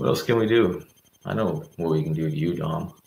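The voice is quiet and fairly slow, heard with audible room echo and light background noise. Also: man. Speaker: political commentator. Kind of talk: livestream monologue. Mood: agitated, indignant. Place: home room. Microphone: webcam.

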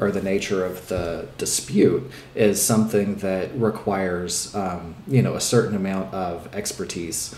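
Over light background noise and audible room echo, a man with a fairly low voice speaks at a fairly slow pace, his pitch varying in an ordinary way. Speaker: remote guest. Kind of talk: interview answer. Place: home room.

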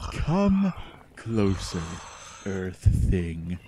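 A man's put-on character voice, low-pitched with a dark, mellow tone and big pitch swings, delivered very slowly over faint background noise.

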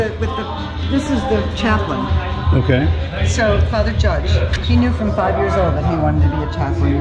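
Loud music plays in the background as a woman speaks with ordinary pitch variation. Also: moderate pace. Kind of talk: casual explanation to a visitor. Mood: earnest, moved. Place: hall. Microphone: phone near.

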